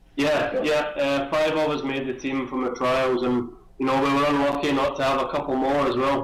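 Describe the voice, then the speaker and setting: A man with a fairly high voice talks at a moderate pace in a flat monotone, with very even loudness and hardly any pauses. Room echo is audible, and there is noticeable background noise. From Scotland, Glasgow. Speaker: Olympic swimmer. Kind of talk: interview. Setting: video call. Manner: hesitant, many fillers.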